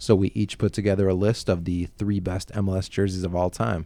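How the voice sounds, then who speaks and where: With a slight Buffalo accent, a man speaks at a fairly low pitch in a dark, mellow tone. His pace is moderate, his intonation fairly even, and the recording very clean with a silent background. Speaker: podcast host. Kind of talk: casual chat.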